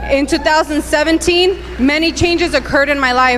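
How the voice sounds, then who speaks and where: Music plays in the background as a woman talks. Her pace is moderate and her intonation fairly even. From Southern California (Southgate, Paramount), born in Mexico. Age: 30s. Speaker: immigrant activist. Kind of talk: testimony.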